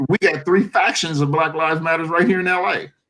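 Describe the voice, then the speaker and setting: A man with a fairly high voice. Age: 60s. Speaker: professor. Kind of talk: casual chat.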